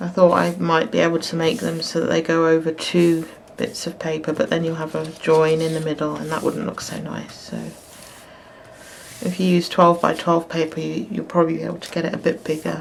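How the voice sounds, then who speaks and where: Mumbling at a fairly quick pace, a woman with a fairly low pitch and fairly even intonation is heard over noticeable background noise. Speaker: crafter and illustrator. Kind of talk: tutorial. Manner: halting.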